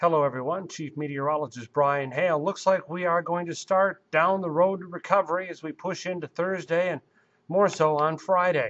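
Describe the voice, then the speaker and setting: A man speaks at a moderate pace in a high pitch. His loudness swings widely. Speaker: TV meteorologist. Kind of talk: TV weather forecast, direct-to-camera recorded segment. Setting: studio. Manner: upbeat, reassuring forecaster patter with casual asides; brisk run-on delivery with occasional 'uh' fillers. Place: studio. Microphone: lapel.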